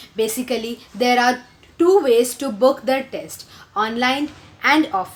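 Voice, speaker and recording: A woman speaks with an Indian accent. Her pace is fairly slow. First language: Hindi. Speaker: video blogger. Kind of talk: tutorial. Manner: hesitant, many fillers.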